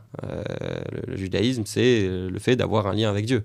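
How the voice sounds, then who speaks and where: A man's fairly low voice, a plain, everyday voice, at a moderate pace with fairly even intonation, on a very clean recording with a silent background. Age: 30s. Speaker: podcast host, rabbi teacher. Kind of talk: interview.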